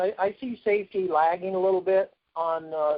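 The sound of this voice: A man at a moderate pace with ordinary pitch variation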